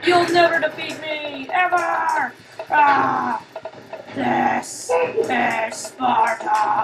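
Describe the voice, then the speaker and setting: Over loud background noise, a high-pitched, put-on character voice moves at a very slow pace with long, frequent pauses. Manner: defiant, mock battle cry, shouting.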